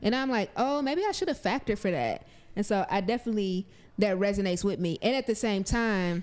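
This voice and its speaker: At a fairly quick pace, a woman talks in a normal speaking voice with medium pitch, lively intonation and very even loudness. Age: 30s. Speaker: podcast co-host, community organizer. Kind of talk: casual chat.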